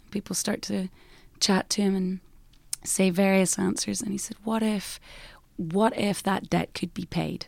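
On a very clean recording with a silent background, a woman with an Irish accent speaks at a fairly slow pace, using long, frequent pauses and fairly even intonation. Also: medium pitch for a woman. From Ireland. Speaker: worship singer-songwriter. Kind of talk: casual interview chat. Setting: conference venue interview.

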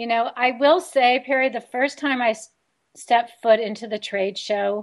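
A woman with an American accent, an ordinary speaking voice, fairly high pitch, ordinary pitch variation and a fairly slow pace, against a quiet background. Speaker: radio host. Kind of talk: casual radio interview.

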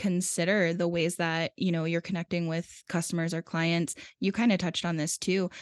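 A woman talks in an ordinary speaking voice at a fairly low pitch and a moderate pace. The sound is dry and close, with no echo. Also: quiet background. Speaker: podcast producer and editor. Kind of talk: casual interview chat.

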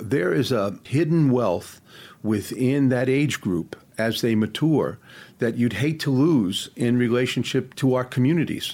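A man with an ordinary speaking voice talks at a medium pitch, with ordinary pitch variation and very even loudness. The recording is very clean, with a silent background. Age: 60s. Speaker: leadership consultant. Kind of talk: interview.

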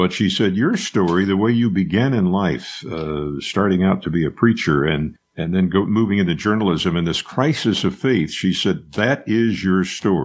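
A man's very deep, low voice with lively intonation, moderate pace, very even loudness and hardly any pauses. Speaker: retired news anchor. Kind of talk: interview.

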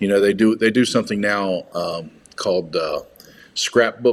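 At a moderate pace, a man speaks in an unremarkable speaking voice with a fairly low pitch. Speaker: podcast guest discussing movies. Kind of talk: casual chat. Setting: studio.

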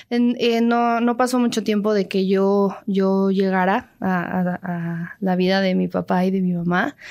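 With a normal speaking voice, a woman of medium pitch talks at a fairly slow pace with hardly any pauses, fairly even intonation and very even loudness, in a very clean recording with a silent background. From Mexico City. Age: 20s. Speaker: actress and singer. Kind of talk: interview. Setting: radio studio.

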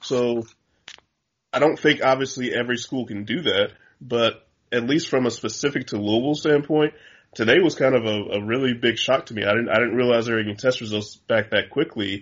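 Here a man speaks at a fairly quick pace. His pitch is medium, with ordinary variation. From Chicago. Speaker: sports writer. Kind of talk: casual chat.

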